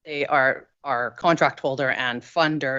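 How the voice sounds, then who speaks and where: A woman speaks at a very deep, low pitch. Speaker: victim services worker. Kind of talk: council presentation Q&A. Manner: loud.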